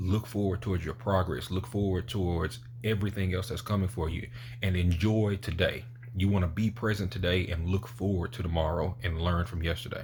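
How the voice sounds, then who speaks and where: This man talks at a fairly quick pace in a very deep, low pitch with ordinary pitch variation. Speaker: motivational YouTuber. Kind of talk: motivational talk to camera. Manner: casual, conversational.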